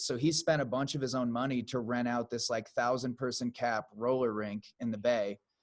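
A man with an American accent talks at a moderate pace and medium pitch with ordinary pitch variation, in a normal speaking voice. The recording is very clean with a silent background. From US Midwest. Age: 30s. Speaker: podcast host and musician. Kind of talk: casual chat.

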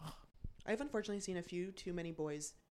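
A woman with fairly even intonation. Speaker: guest.

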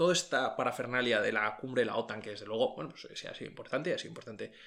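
A man talks at a fast pace with ordinary pitch variation.

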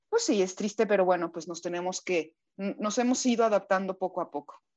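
This is an unremarkable speaking voice at a moderate pace, with ordinary pitch variation. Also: woman. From Mexico. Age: 40s. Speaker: voice actress. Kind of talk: interview.

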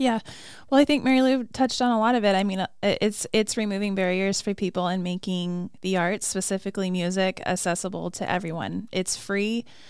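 Using a normal speaking voice, a woman talks at a fairly quick pace and medium pitch with ordinary pitch variation, on a very clean recording with a silent background. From Arizona (Flagstaff). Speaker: arts and culture coordinator. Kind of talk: casual interview. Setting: studio.

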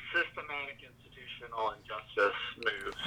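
The speaker has an American accent and a fairly slow pace. Background noise is noticeable. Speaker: guest, works with clients. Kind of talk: casual chat.

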